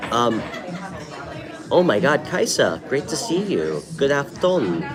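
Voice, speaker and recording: Crowd noise and audible room echo accompany a man whose fairly high pitch makes very wide swings as he speaks at a fairly slow pace. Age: 30s. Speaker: tarot reader, live stream host. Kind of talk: live stream chat with viewers. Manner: casual, with many filler ums.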